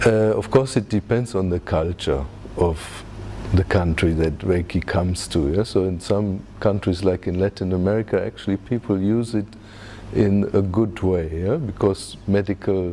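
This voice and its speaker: A man's very deep, low voice with a German accent, ordinary pitch variation and a moderate pace, over noticeable background noise. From Germany. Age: 50s. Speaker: reiki teacher. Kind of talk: interview. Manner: frequent fillers and tag questions.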